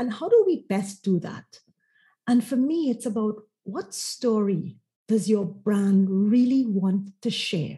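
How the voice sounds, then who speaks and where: Very slowly, a woman speaks in a dark, mellow tone that is somewhat breathy. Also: fairly high pitch for a woman, ordinary pitch variation. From Trinidad and Tobago. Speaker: marketing consultant. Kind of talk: interview conversation.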